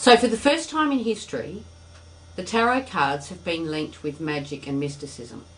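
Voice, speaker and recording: In an Australian accent, a woman with a fairly low pitch talks at a moderate pace, her voice making very wide pitch swings and big swings in loudness, with audible room echo around her. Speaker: tarot teacher. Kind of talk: lecture.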